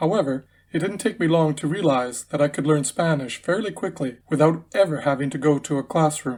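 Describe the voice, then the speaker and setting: A man with a fairly high pitch talks at a fairly quick pace with hardly any pauses and ordinary pitch variation. He has a normal speaking voice, and the recording is very clean with a silent background. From Canada, Winnipeg, Manitoba. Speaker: English teacher. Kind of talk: scripted narration. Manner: formal.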